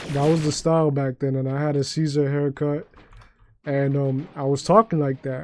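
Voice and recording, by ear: The speaker has a New York accent and a slightly mellow tone. Intonation is fairly even and the pace moderate. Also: man, fairly high pitch for a man.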